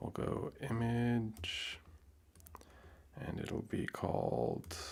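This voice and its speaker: Soft-spoken, a man talks at a medium pitch. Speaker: software developer streamer. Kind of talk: live coding tutorial. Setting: live stream from home.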